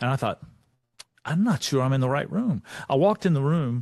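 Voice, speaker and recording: A man with a Texan accent speaks with lively intonation. The sound is dry and close with no echo, and the background is quiet. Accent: Texan American English. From Texas. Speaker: leadership speaker. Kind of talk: motivational talk.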